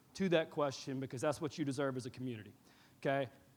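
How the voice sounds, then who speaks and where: A man talks in an animated tone. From East Alabama. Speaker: attorney. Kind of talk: town hall address.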